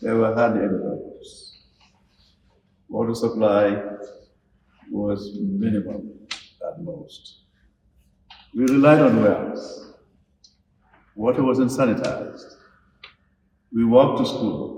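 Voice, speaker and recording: A man speaks very slowly with long, frequent pauses, and audible room echo is present. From Gambia. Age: 70s. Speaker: speaker on national affairs. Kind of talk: lecture.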